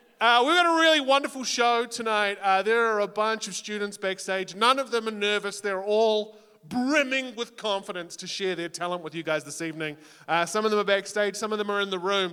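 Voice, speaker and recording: Speaking in a New Zealand accent, a man raises and projects his high-pitched voice in an animated tone with ordinary pitch variation. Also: fairly quick pace. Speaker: talent show host and comedian. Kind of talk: live emcee hosting with stand-up jokes. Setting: stage with audience.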